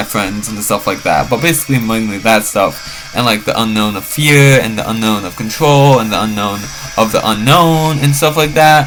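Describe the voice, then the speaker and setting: A man speaks at a fairly quick pace with ordinary pitch variation. Music plays in the background. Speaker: vlogger. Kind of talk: rambling monologue. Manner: fast; halting, many fillers.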